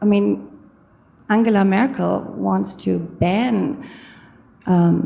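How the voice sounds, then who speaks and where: Speaking at a very slow pace with a German accent, a woman is heard with audible room echo and noticeable background noise. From Germany. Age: 50s. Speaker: audience member asking a question. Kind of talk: audience question at a lecture. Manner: halting.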